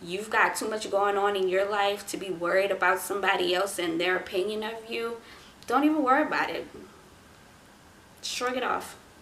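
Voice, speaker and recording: With an American accent, a woman speaks with long, frequent pauses amid audible room echo and noticeable background noise. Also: medium pitch for a woman, ordinary pitch variation, moderate pace. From US South. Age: 20s. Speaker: vlogger. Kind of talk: casual advice talk to camera. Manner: laid-back, not very energetic.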